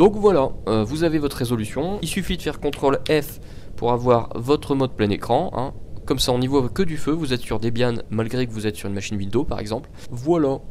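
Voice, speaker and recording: Here a man talks at a fairly quick pace with a medium pitch. His intonation is lively. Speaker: tech tutorial youtuber. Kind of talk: screen-recorded tutorial. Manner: casual, with hesitations.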